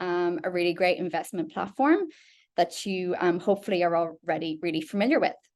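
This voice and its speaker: Against a quiet background, a woman with an Irish accent speaks at a moderate pace and medium pitch. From Ireland. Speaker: product specialist presenting a webinar. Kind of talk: webinar presentation. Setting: online webinar call. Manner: frequent fillers (um).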